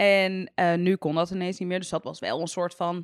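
At a fairly slow pace, a woman speaks in a fairly low pitch on a very clean recording with a silent background and a dry, close sound with no echo. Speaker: YouTuber. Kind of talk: casual chat. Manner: sounds sarcastic even when enthusiastic.

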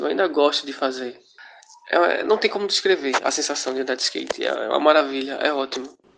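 Fairly quick delivery with noticeable background noise. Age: 20s. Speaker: skateboarder. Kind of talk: recorded testimony.

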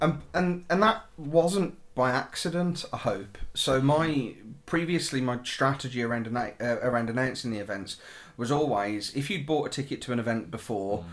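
This man has a medium pitch and lively intonation. He keeps a moderate pace. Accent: British. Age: 30s. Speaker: portrait photographer. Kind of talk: casual chat.

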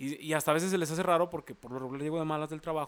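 A man with a fairly high pitch and ordinary pitch variation races along at a very fast pace. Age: 20s. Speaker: podcast host. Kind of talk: casual chat.

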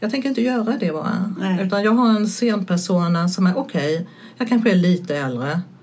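With lively intonation and a medium pitch, a woman talks fairly quickly in an unremarkable speaking voice. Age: 60s. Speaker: stand-up comedian. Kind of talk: casual chat.

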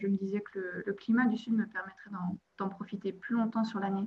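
A woman's flat, monotone delivery at a very fast pace. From Belgium, province of Liège. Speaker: expatriate. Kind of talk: interview. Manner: hesitant, many fillers and repetitions.

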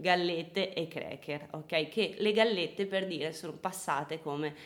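A woman's voice, showing ordinary pitch variation, comes through noticeable background noise. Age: 20s. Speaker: nutritionist. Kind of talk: casual chat. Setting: at home.

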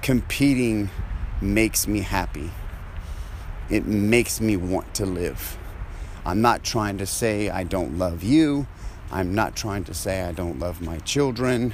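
Over noticeable background noise, a man with a fairly low pitch speaks at a very slow pace, with lively intonation and long, frequent pauses. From Louisiana. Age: 40s. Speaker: jiu-jitsu fighter and podcaster. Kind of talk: solo monologue. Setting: outdoors, walking.

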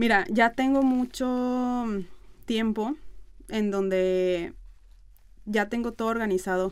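Very slowly and with long, frequent pauses, a woman talks in a fairly high pitch on a very clean recording with a silent background. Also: ordinary pitch variation. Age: 30s. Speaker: influencer and marketer. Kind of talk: casual interview.

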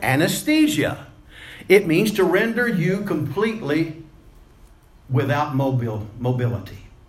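Very wide pitch swings and long, frequent pauses, with audible room echo and noticeable background noise. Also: man, fairly high pitch for a man, moderate pace. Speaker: preacher. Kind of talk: sermon. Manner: wordy, repetitive with fillers.

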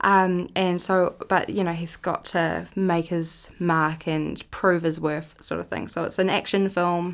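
A woman with a New Zealand accent speaks slowly at a fairly low pitch. Her intonation is monotone and flat, on a very clean recording with a silent background. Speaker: film festival program manager. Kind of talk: interview.

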